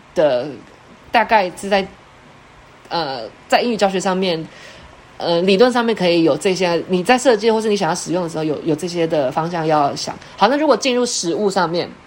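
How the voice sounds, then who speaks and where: Audible room echo surrounds a woman speaking at a moderate pace with a medium pitch. Her intonation is lively, and she leaves long, frequent pauses. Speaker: education researcher and English teacher. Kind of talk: online lecture.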